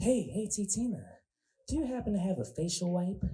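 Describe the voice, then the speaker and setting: The speaker uses a put-on character voice at middle pitch. The delivery moves at a fairly quick pace. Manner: polite, asking for a favor.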